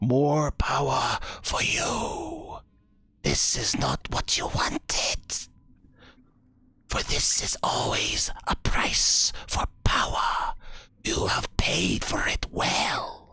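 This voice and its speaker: A man whispers and hisses in a put-on character voice with a sinister tone. He speaks at a very slow pace. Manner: gloating, sinister.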